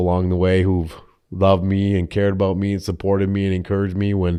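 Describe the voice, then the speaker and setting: A very fast-talking man with a Minnesota accent, very deep and low in pitch, dark and mellow in tone, monotone and flat, over a quiet background. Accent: Minnesotan. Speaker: insurance agent, business owner. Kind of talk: podcast interview.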